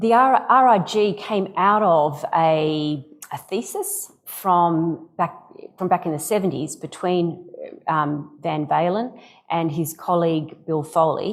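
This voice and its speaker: Speaking very slowly, a woman with an Australian accent uses a fairly low pitch and ordinary pitch variation. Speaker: AI company executive. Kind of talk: interview.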